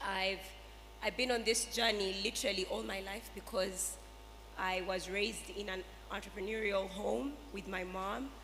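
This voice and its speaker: The speaker's intonation stays fairly even over noticeable background noise and audible room echo. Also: woman, medium pitch for a woman, moderate pace. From Uganda. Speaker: entrepreneur, school owner. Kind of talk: panel discussion.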